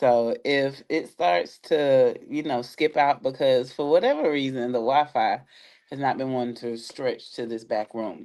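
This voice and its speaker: A woman's very deep, low voice, dark and mellow in tone, at a fairly slow pace. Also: ordinary pitch variation. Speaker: spiritual reader livestream host. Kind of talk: casual livestream chat.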